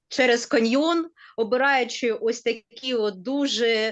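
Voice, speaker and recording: Against a quiet background, a woman with a Ukrainian accent talks at a high pitch. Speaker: university teacher. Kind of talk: webinar discussion. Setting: online webinar video call. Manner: hesitant with fillers.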